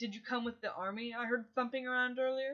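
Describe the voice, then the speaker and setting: A woman's put-on character voice, high-pitched, very fast and monotone, with flat intonation. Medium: read story. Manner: cool, articulate, mocking.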